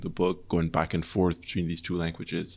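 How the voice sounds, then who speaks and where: A man with a French accent speaks at a fairly quick pace in a very deep, low pitch. The recording is very clean, with a silent background. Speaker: podcast host. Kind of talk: interview conversation.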